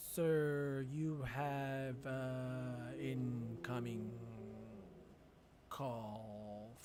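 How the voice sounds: A man in a put-on character voice at a medium pitch, very slow with long, frequent pauses, over clear background noise.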